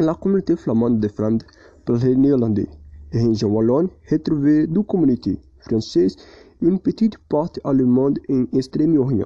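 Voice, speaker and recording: A man's dark, mellow voice at a moderate pace with very even loudness, dry and close with no echo. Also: medium pitch for a man, lively intonation. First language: not French (speaking French). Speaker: language student. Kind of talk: prepared presentation. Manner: halting.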